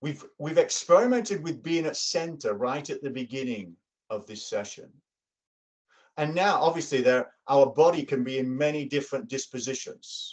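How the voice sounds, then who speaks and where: A man's fairly high voice in an English accent, with lively intonation, big swings in loudness and a moderate pace. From England. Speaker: workshop facilitator. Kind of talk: workshop presentation. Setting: video call.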